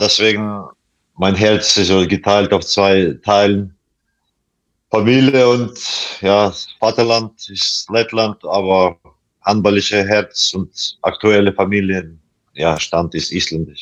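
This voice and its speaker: With a Latvian accent, a man speaks at a fairly low pitch. His pace is very slow, broken by long, frequent pauses. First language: Latvian (speaking German). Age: 40s. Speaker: handball player. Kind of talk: interview. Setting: video call from hotel. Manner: halting, many hesitations.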